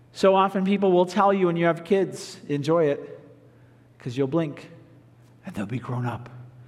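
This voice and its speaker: A man speaks in a high voice with audible room echo. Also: long, frequent pauses. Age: 40s. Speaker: pastor. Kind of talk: sermon. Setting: pre-recorded video.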